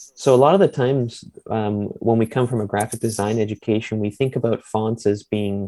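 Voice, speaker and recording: The voice has a dark, mellow tone and fairly even intonation. It moves at a moderate pace with a Canadian accent. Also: man. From Ontario, Bruce Peninsula (Owen Sound). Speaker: typeface designer and researcher. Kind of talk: interview.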